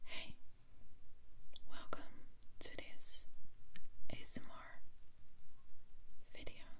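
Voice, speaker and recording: A woman whispering at a very slow pace, with long, frequent pauses. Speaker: ASMR creator. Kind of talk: ASMR joke reading. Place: home room.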